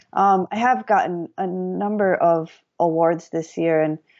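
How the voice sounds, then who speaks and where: This woman has an ordinary speaking voice. Her intonation stays fairly even. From US Midwest, Madison, Wisconsin. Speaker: painter and mixed-media artist. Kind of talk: interview conversation. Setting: remote call.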